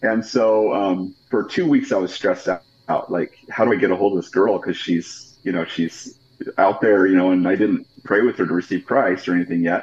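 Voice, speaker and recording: A man with an American accent talks at a moderate pace, his pitch fairly low with ordinary variation. Noticeable background noise is present. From Idaho, Pocatello area. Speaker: pastor. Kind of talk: interview.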